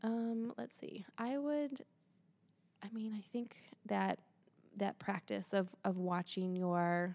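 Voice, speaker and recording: A woman speaks with a Midwestern American accent in a dark, mellow tone. Her pitch is medium, her pitch variation ordinary and her pace fairly slow. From Michigan. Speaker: Ayurveda practitioner and acupuncturist. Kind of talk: interview about wellness.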